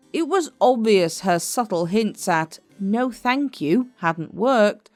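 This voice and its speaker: Over background music, a woman speaks very slowly in a fairly high pitch. Her intonation is lively and her loudness very even. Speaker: history narrator. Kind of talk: documentary history narration.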